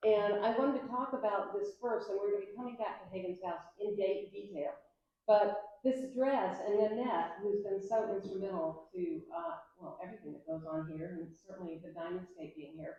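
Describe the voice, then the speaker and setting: A woman at medium pitch, lively intonation and big swings in loudness, at a moderate pace. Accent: American. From US South, Atlanta, Georgia. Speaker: digital artist. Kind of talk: interview at a public talk. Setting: museum event with audience.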